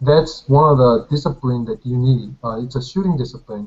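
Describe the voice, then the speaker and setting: A somewhat breathy man with a Korean accent talks at a moderate pace. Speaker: competitive shooter and engineering student. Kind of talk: casual chat. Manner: halting.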